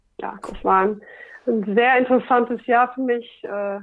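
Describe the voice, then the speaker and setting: The woman's intonation is monotone, flat. She keeps a moderate pace. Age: 40s. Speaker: radio worker and stand-up paddling athlete. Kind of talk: casual interview.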